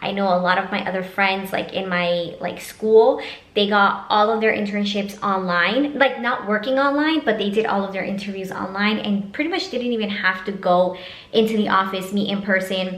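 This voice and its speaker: Against noticeable background noise and audible room echo, a woman speaks at a moderate pace with a medium pitch and ordinary pitch variation. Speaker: vlogger, master's student. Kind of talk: casual vlog talk to camera. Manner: casual, filler-heavy.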